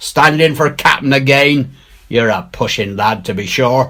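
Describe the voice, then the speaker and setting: A man puts on a character voice, pitched in the medium range and delivered at a moderate pace. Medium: read story. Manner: cool, drawling.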